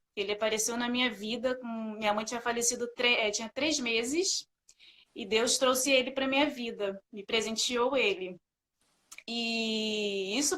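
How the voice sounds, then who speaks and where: With a Rio de Janeiro accent, a woman speaks at a high pitch and a fairly slow pace. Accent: carioca accent, hissing s. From Rio de Janeiro, Brazil. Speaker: sales supervisor sharing testimony. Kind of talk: testimony. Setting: live video call.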